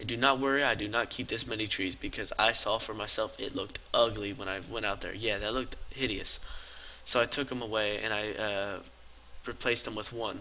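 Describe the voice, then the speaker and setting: Quiet and fairly quick, a man at a medium pitch speaks in a bright, sharp tone with fairly even intonation. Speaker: gaming YouTuber. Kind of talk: voice-over commentary. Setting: late at night, recorded commentary.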